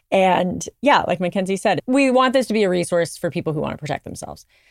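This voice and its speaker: The recording is very clean with a silent background. A woman's voice comes through dry and close, with no echo. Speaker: podcast co-host. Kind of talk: casual chat. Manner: fast.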